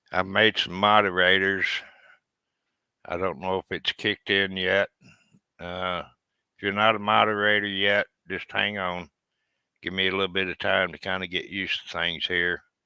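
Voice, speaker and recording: With an American accent, a man talks at a moderate pace in a very deep, low voice, his intonation monotone and flat and his speech broken by long, frequent pauses. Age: 70s. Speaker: veteran YouTuber. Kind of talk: live stream chat. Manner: halting.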